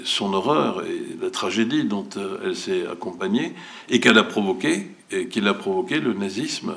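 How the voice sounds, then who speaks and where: Noticeable background noise sits behind the speech. The man's tempo is fairly slow. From Turkey, Ankara. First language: Turkish (speaking French). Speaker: cinema director. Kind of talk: public speech. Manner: hesitant, many fillers.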